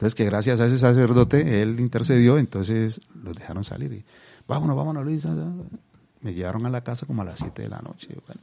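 At a very fast pace, a man with a Colombian accent talks in a dark, mellow tone with lively intonation and big swings in loudness. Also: medium pitch for a man. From Colombia (Cali). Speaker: father of a victim, activist. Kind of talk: testimony. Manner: calm.

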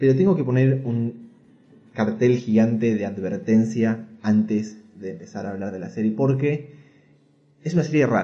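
This man's medium-pitched voice has a dark, mellow tone, ordinary pitch variation, big swings in loudness and a fairly slow pace. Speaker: podcast host. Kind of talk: casual chat.

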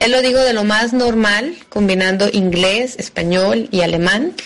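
The voice shows ordinary pitch variation. Noticeable background noise can be heard. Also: woman. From Mexico, Guadalajara. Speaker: expatriate giving testimony. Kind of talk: testimony.

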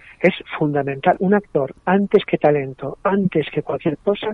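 With a plain, everyday voice, a man speaks at a moderate pace and fairly high pitch using lively intonation. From Madrid, Spain. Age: 40s. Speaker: playwright and stage director. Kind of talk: radio interview.

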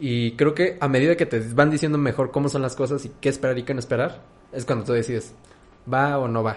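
Fairly quick and fairly even in intonation, a man talks at a medium pitch. He has a plain, everyday voice. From Mexico. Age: 20s. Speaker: podcast host. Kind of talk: casual chat.

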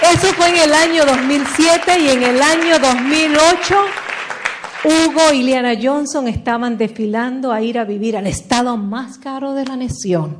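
A woman speaks at a fairly slow pace with a high pitch and lively intonation. Crowd noise and audible room echo fill the background. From Puerto Rico. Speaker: motivational speaker. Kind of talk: motivational talk.

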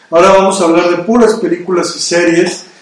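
A man talks at a high pitch and a moderate pace. Audible room echo and noticeable background noise come through. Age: 30s. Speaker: radio and video podcast host. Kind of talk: casual chat.

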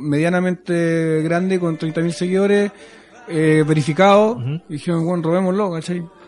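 There is noticeable background noise as a man with a Chilean accent talks at a moderate pace, with a high pitch and fairly even intonation. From southern Chile, countryside near Concepción. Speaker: singer-songwriter. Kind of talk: casual interview. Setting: radio studio.

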